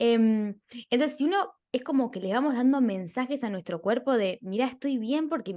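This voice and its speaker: A woman speaks at a moderate pace with lively intonation and a fairly high pitch, over a quiet background. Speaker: podcast host, architect. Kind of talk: interview conversation. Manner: animated.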